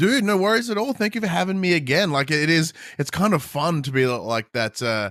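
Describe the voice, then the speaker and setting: Very wide pitch swings from a man at a moderate pace, on a very clean recording with a silent background. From Australia. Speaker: podcast guest co-host. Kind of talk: casual podcast chat.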